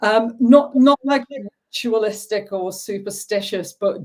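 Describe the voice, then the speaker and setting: Someone with a northern English accent speaks at a very slow pace. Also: woman. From northern England. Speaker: football referee. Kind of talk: interview. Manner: hesitant, filler-heavy.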